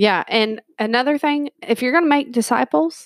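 A woman's high-pitched voice with lively intonation, dry and close with no echo, on a very clean recording against a silent background. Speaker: podcast co-host. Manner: informal, jokey.

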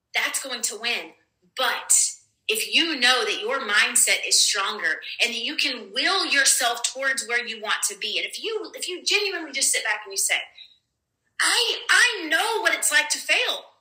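Speaking with an American accent, a woman uses a high pitch that swings very widely. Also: moderate pace. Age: 40s. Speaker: podcast host. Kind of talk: motivational monologue. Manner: animated.

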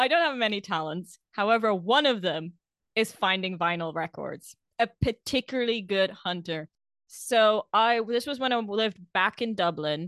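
Recorded dry and close with no echo against a quiet background, a woman at a medium pitch speaks with lively intonation. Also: moderate pace. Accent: non-native. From outside the UK, expat background. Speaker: podcast co-host. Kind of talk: casual chat.

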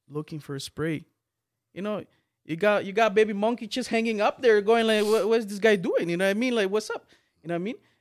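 A man's high-pitched voice at a very fast pace, with ordinary pitch variation. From Guatemala. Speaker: music video creator. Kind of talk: casual chat.

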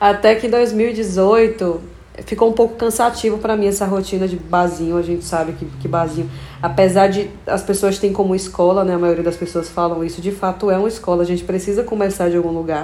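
A woman speaks at a fairly quick pace and medium pitch with fairly even intonation. Noticeable background noise and audible room echo surround her voice. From Brazil, Bahia (Feira de Santana). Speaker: singer. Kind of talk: interview.

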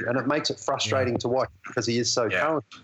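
There is noticeable background noise as a man speaks at a medium pitch with ordinary pitch variation. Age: 40s. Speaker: basketball TV analyst. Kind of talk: casual interview. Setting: phone or video call.

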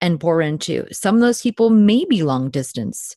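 A woman with an American accent has a plain, everyday voice. She speaks at a moderate pace, and the sound is dry and close with no echo. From New Jersey. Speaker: podcast host and ministry worker. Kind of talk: casual interview.

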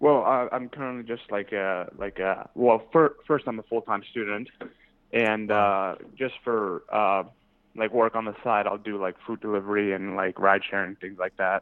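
A man's fairly low voice moves at a moderate pace, its intonation fairly even. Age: 20s. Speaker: college student caller. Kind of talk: advice call. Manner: hesitant, many fillers.

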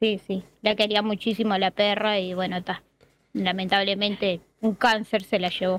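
A woman with a Uruguayan accent talks at a moderate pace. Her medium pitch stays monotone and flat. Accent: Rioplatense Spanish (Uruguayan). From Uruguay, Montevideo. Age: 40s. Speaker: viewer, municipal employee. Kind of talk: casual interview. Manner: halting, many fillers.

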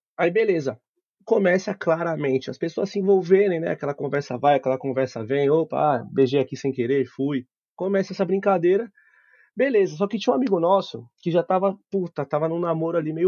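With a normal speaking voice, a man talks fairly quickly at a fairly high pitch, his intonation lively. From Osasco, São Paulo, Brazil. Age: 20s. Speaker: podcast guest. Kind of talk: casual chat with storytelling.

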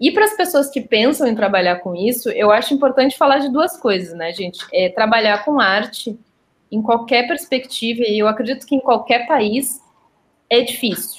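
Moderate pace and lively intonation in a woman's high voice. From southern Brazil, Porto Alegre. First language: Portuguese (speaking Spanish). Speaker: documentary film director. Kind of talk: interview.

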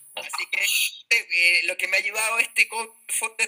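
The sound of this man's voice is dry and close, with no echo. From Chile, Valdivia. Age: 40s. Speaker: professional golfer. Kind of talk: casual interview.

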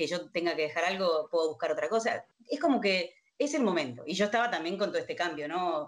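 Here is a woman with an ordinary speaking voice and a fairly low pitch. She talks at a fairly quick pace with ordinary pitch variation. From Argentina, Río Gallegos, Santa Cruz (Patagonia). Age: 50s. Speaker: contact center executive. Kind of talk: interview.

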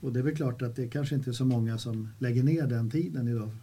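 The man's voice is medium in pitch, dark and mellow, and somewhat breathy. He talks at a fairly quick pace with fairly even intonation. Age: 70s. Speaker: podcast host. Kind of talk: casual chat.

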